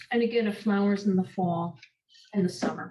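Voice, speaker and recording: A woman speaks at medium pitch in a New York accent, somewhat breathy. Her intonation stays fairly even. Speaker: master gardener presenter. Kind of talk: workshop lecture.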